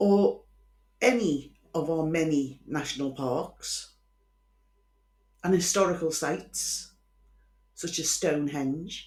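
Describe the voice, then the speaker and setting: A woman speaks at a very slow pace with a very deep, low pitch. Her pitch varies in an ordinary way, broken by long, frequent pauses. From Liverpool, England. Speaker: true crime podcaster. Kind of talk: casual storytelling monologue. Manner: chatty, informal.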